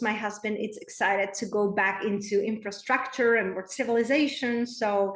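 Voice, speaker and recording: Speech with a Czech accent and audible room echo. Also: woman. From Czech Republic, small town. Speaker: spiritual coach. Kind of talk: podcast interview.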